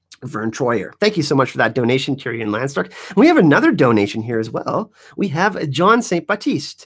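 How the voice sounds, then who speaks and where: Here a man speaks in a French Canadian accent at a fairly high pitch. His pitch swings very widely at a fairly quick pace. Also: very clean recording, silent background. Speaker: YouTube show host. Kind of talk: live stream Q&A chat. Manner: fast; animated.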